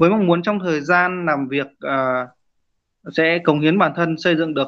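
With ordinary pitch variation and a fairly high pitch, a man in a normal speaking voice keeps to a moderate pace. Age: 30s. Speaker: rice farmer and cooperative head. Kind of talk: interview.

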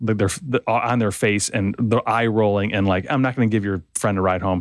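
In a very clean recording with a silent background and a dry, close sound with no echo, a man speaks at medium pitch with ordinary pitch variation in a plain, everyday voice. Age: 50s. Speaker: podcast host. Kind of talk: casual interview chat. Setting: studio.

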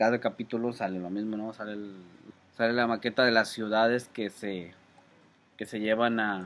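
A man with a Mexican accent at a moderate pace, medium in pitch, his intonation fairly even. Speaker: podcast co-host. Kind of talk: casual chat. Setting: outdoors.

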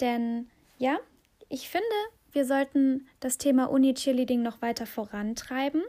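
At a fairly slow pace with long, frequent pauses, a woman talks in a high pitch and a dark, mellow tone. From Aachen, Germany. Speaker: podcast host. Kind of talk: casual podcast monologue and interview. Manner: animated.

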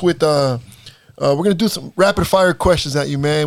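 In a normal speaking voice with an American accent, a man talks at a fairly high pitch and moderate pace with ordinary pitch variation. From Salinas, California. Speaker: podcast host and basketball coach. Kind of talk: interview.

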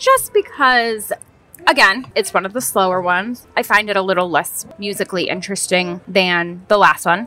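A woman's voice with ordinary pitch variation, set against noticeable background noise. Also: medium pitch for a woman, moderate pace. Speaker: podcast co-host, daughter. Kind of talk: casual chat. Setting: outdoors in a brewery beer garden.

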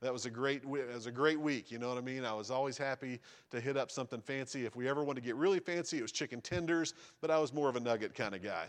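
With a Southern US accent, a man talks at a very fast pace. His medium pitch shows ordinary pitch variation. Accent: Southern American. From US South, rural East Tennessee. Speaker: missionary. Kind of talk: sermon. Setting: church.

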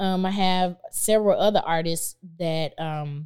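Using an unremarkable speaking voice, a woman with an American accent talks fairly slowly at a fairly low pitch with fairly even intonation. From Tulsa, Oklahoma. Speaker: artist manager, former singer. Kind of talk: casual interview. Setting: studio, on a couch.

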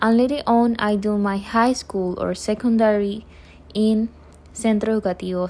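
The speech comes at a fairly slow pace in a Panamanian accent. The intonation is monotone and flat. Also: woman. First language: Spanish. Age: 20s. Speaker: university English student. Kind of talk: self-introduction.

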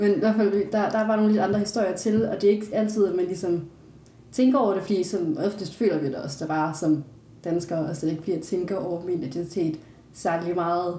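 A woman with a dark, mellow tone sounds somewhat breathy, talking at a fairly quick pace amid audible room echo. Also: medium pitch for a woman, ordinary pitch variation. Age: 20s. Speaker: philosophy student, adoptee. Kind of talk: casual interview.

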